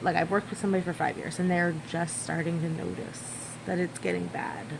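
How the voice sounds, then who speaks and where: Mumbling, a woman talks at a very fast pace. Noticeable background noise can be heard. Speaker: mom vlogger. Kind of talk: casual vlog talk. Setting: at home in living room. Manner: mumbling, rambling.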